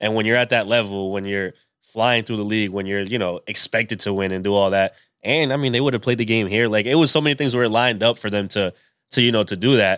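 A very fast pace with ordinary pitch variation on a very clean recording with a silent background. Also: man, fairly low pitch for a man. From Rhode Island, US (Pawtucket). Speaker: sports journalist. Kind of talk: casual chat. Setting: backyard.

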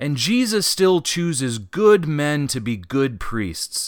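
Recorded very cleanly against a silent background, a man with an American accent and a fairly high pitch speaks very slowly in a passionate tone with very wide pitch swings. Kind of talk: preacher-style homily. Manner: earnest, passionate, exhorting; rallying, urgent call to action.

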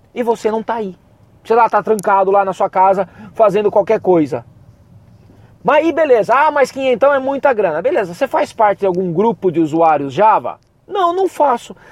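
Animated in tone, the voice moves at a moderate pace with very wide pitch swings and a dry, close sound with no echo. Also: man, high pitch for a man. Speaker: podcast host and university professor. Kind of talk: pep talk. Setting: solo podcast. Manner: animated, fired-up and emphatic, casual with slang and swearing.

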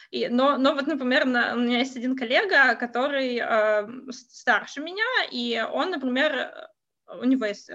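Here a woman speaks at a high pitch. Her tone is bright and sharp. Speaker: Russian expat wife. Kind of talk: casual chat. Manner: hesitant, many fillers.

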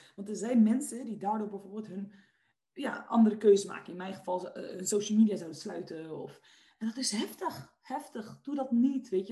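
A woman's somewhat breathy voice, dark and mellow in tone, at a fairly high pitch, a moderate pace, and with ordinary pitch variation. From Netherlands, Westland (South Holland). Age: 20s. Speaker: entrepreneur and personal development coach. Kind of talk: podcast interview. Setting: video call.

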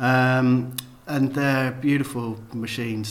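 Over noticeable background noise and audible room echo, a man speaks at a medium pitch in a flat, monotone delivery. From Cheltenham, England. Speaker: letterpress printer. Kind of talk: interview conversation. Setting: office studio. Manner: hesitant, many fillers.

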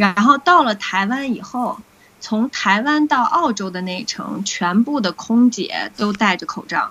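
A woman's bright, sharp voice, fairly high in pitch, at a fairly slow pace with lively intonation. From Beijing, China. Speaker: recovered COVID patient sharing experience. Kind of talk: interview conversation.

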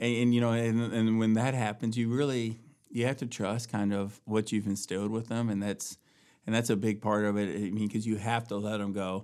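In a very clean recording with a silent background, a man speaks in a flat monotone. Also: medium pitch for a man, moderate pace. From US, moved often; teen years in Virginia Beach. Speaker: father sharing parenting story. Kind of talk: casual interview. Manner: halting, many repetitions.

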